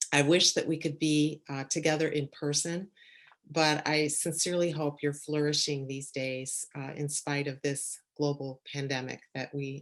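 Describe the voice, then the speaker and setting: Over a quiet background, a woman with a Chicago accent speaks at a moderate pace in a very deep, low pitch. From Chicago suburbs. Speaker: church leader and leadership coach. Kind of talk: talk, conference lecture.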